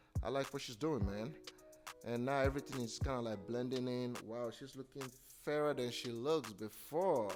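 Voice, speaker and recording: Music plays in the background as a man speaks at a moderate pace. His medium-pitched voice has ordinary variation and a playful, enthusiastic tone. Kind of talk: comedic commentary voiceover over a makeup video. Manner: playful, jokey, enthusiastic.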